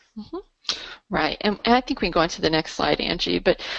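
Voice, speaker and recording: This woman's voice sits at a medium pitch in a quiet background. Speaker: nutrition product distributor, presenter. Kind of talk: webinar presentation. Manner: fast.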